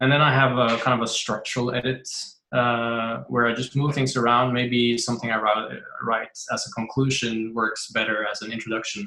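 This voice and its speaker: A man's medium-pitched, flat, monotone delivery at a moderate pace. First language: not English. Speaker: writer. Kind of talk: interview. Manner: halting.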